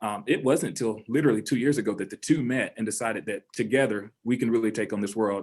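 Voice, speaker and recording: A very fast man with a Southern US accent, medium pitch and ordinary pitch variation, on a very clean recording with a silent background. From US South. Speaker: high school principal. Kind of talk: panel discussion.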